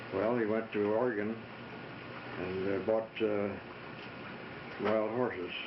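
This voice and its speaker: A man with a fairly low pitch speaks at a very slow pace in a monotone, flat intonation, with long, frequent pauses. Noticeable background noise is present. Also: very even loudness. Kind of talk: interview answer.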